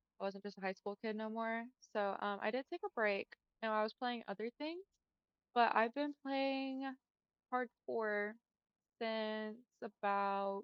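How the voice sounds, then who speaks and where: With an American accent, a woman speaks fairly slowly at a fairly high pitch, with ordinary pitch variation and long, frequent pauses. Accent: southern US, noted by out-of-state customers. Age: 20s. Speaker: gaming streamer. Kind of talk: casual chat. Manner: casual, filler-heavy speech.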